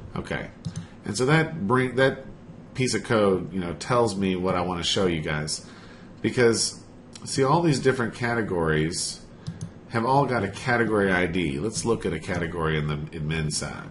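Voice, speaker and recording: A man with a fairly low pitch speaks at a moderate pace with lively intonation and a somewhat breathy sound, and audible room echo surrounds him. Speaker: web developer. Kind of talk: tutorial.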